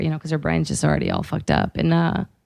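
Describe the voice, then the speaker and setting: A woman speaks with a Portuguese accent. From Brazil. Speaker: comedian. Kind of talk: casual chat.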